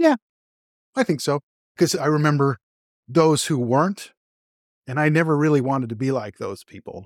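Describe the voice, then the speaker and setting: A fairly high-pitched man with a Californian accent, ordinary pitch variation and long, frequent pauses, on a very clean recording with a silent background and a dry, close sound with no echo. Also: moderate pace. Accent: Californian American English. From Los Angeles area, California. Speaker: guest telling conversion story. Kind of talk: interview testimony.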